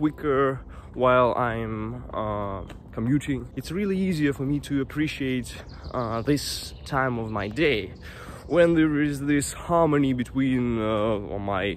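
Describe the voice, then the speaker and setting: A man's very slow speech with ordinary pitch variation, dry sound with no echo, and light background noise. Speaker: vlogger. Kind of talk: casual vlog chat. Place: forest. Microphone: earbuds.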